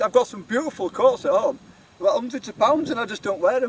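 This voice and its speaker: Speaking at a very fast pace, a man with a Yorkshire accent uses an extremely high pitch. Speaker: outdoor adventure vlogger. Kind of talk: casual vlog narration. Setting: outdoors. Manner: rambling, chatty.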